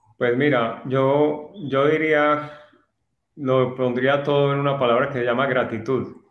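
Speaking very slowly in a flat monotone, a man with a fairly high voice is heard with audible room echo. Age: 50s. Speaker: course student. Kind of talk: testimony. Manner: halting.

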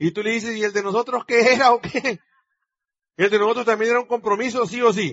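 A man with an extremely high pitch talks at a fairly quick pace in an animated tone. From Mexico. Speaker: business leader and motivational speaker. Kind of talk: motivational talk to live audience. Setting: stage with audience.

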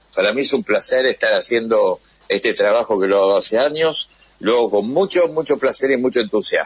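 A man talking at a fairly quick pace, his loudness very even, over noticeable background noise. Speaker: radio host. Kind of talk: interview.

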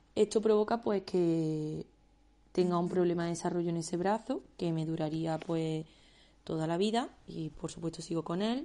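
Over a quiet background, a woman speaks in a dark, mellow voice of fairly low pitch, at a moderate pace with fairly even intonation. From Andalusia, Spain (Córdoba). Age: 20s. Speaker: illustrator and podcast host. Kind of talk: personal monologue.

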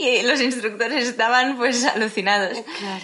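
A woman is talking with noticeable background noise in the mix. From Spain, Tarragona (Catalonia). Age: 20s. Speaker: airline pilot. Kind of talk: interview.

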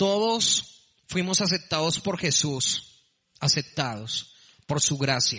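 Speaking at a very slow pace, a man with a high pitch and a bright, sharp tone makes very wide pitch swings. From Colombia, Bogotá. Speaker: preacher. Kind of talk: sermon.

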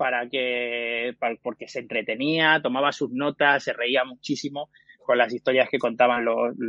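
Speaking at a fairly slow pace, a man keeps his medium pitch in a monotone, flat intonation. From Extremadura, Cáceres province. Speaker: podcast platform founder. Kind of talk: interview. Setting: live stream.

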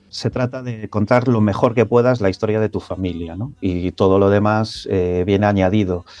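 Speaking at a moderate pace with hardly any pauses, a man with a fairly low pitch and a dark, mellow tone keeps his intonation fairly even. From born in London to Galician emigrants, Galicia. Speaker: novelist. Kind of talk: radio interview. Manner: halting with fillers.

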